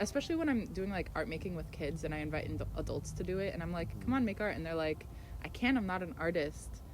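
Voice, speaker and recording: A woman talks at a very fast pace. Room echo is audible. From Washington State, Tacoma. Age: 20s. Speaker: artist. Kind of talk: interview. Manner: hesitant, many fillers.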